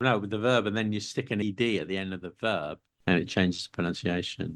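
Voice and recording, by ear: A man speaks at a fairly quick pace in a fairly low pitch. His pitch varies in an ordinary way.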